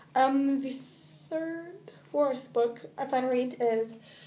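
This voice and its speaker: The woman speaks at a very slow pace with ordinary pitch variation. Audible room echo surrounds her voice. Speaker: book vlogger. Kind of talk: casual chat.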